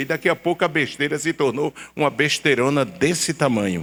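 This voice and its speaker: Vocal fry and very wide pitch swings mark this man's fairly high voice at a moderate pace. The recording is very clean, with a silent background. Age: 70s. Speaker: pastor. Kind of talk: sermon. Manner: animated.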